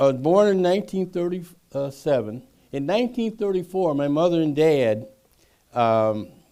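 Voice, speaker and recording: Speaks with an Upper Midwest accent. The pace is moderate. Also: man. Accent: Upper Midwest American. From US Midwest (Madison, Wisconsin). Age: 80s+. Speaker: author. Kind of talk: public talk. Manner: halting.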